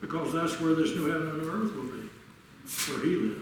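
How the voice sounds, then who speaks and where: A man's fairly high voice carries at a moderate speed, with audible echo from the room and noticeable noise behind him. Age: 80s+. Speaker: preacher. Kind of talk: sermon.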